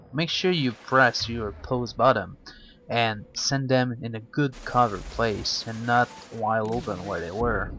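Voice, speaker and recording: Speaking fairly slowly in a non-native accent, a man keeps a medium pitch with ordinary variation. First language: not English. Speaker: gaming commentator. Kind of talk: game walkthrough commentary.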